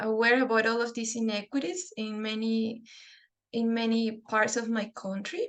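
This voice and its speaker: A woman with a Spanish accent, fairly high pitch, and fairly even intonation. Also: moderate pace. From Peru. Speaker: dental public health researcher. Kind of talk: webinar lecture. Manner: halting.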